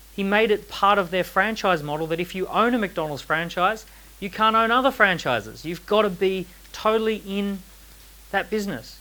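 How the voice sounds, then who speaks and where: The voice is raised and projected, with an animated tone. It moves at a fairly quick pace with ordinary pitch variation. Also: man. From Australia. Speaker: entrepreneur and author giving a talk. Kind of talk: seminar talk to a live audience. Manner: animated, uses rhetorical questions.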